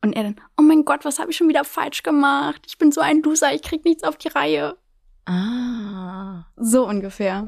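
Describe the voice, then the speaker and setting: Her pitch is high, and a woman's voice moves through very wide pitch swings. She keeps a moderate pace in a very clean recording with a silent background. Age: 20s. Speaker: blind date contestant. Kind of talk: casual chat.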